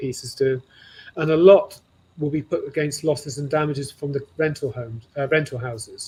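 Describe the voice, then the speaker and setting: A man's fairly high-pitched, somewhat breathy voice with a dark, mellow tone, at a moderate pace. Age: 60s. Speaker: costume manufacturer. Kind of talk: interview conversation. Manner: halting.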